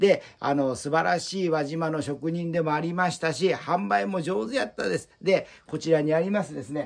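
A man talks at a moderate pace with hardly any pauses, his fairly high voice showing lively intonation against a quiet background. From Japan. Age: 60s. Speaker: Buddhist altar shop owner. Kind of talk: promotional video monologue. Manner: formal. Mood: warm, proud, reminiscing. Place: shop.

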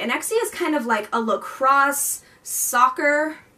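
A woman uses a raised, projected voice with lively intonation. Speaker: book vlogger. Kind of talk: casual vlog chat. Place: home room. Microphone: camera far.

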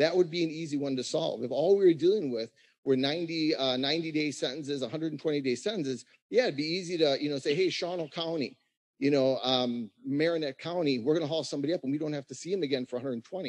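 Against a quiet background, a man in a plain, everyday voice talks at a fairly quick pace and fairly high pitch, with ordinary pitch variation. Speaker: county sheriff. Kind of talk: public meeting discussion. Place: hall. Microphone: podium.

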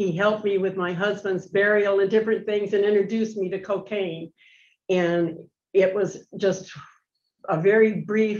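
A woman speaks at a moderate pace in a flat monotone, with a quiet background behind her. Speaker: prison inmate seeking parole. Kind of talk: parole hearing testimony. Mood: earnest, remorseful. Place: meeting room.

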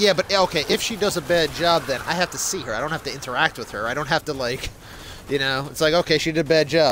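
Against noticeable background noise, a man with an American accent talks at a very fast pace, with a fairly high pitch and ordinary pitch variation. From United States. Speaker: gaming streamer. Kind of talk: casual chat. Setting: live stream.

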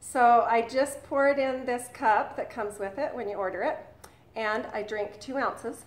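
A woman speaks fairly slowly at a fairly high pitch, with ordinary pitch variation. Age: 50s. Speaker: vlogger. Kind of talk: product demo and exercise tip. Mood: upbeat, encouraging. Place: home room. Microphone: webcam.

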